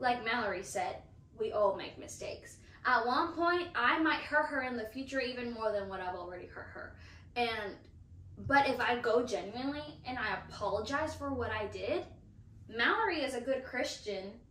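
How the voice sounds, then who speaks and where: High-pitched female voice at a moderate pace, lively in intonation, with big swings in loudness and audible room echo. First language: Spanish. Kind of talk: casual chat.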